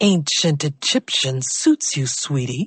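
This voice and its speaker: Someone uses a put-on character voice at a low-to-middle pitch. The delivery moves at a fairly slow pace. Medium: read story. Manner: affectionate, teasing.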